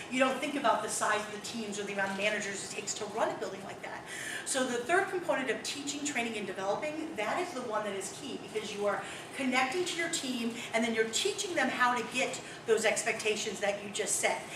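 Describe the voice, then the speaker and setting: A fairly high-pitched woman speaking very fast with lively intonation, amid audible room echo and noticeable background noise. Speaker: retail district manager. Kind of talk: workshop talk.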